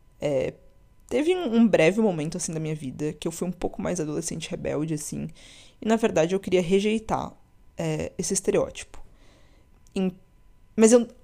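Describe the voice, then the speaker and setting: A woman speaks at a moderate pace with long, frequent pauses, in a very clean recording with a silent background. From Brazil, interior of São Paulo state. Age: 20s. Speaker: podcast host. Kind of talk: personal monologue podcast. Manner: casual, conversational.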